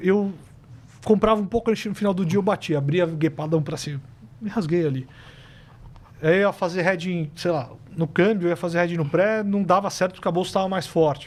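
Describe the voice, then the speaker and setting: Leaving long, frequent pauses, a man talks with a high pitch and ordinary pitch variation. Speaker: systematic fund manager. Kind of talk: casual podcast interview. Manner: fast.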